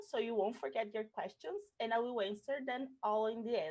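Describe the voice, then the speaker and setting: A woman speaks with a Portuguese accent at a fairly high pitch. Her intonation is lively. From Brazil. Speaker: cultural producer. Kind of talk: pre-recorded presentation.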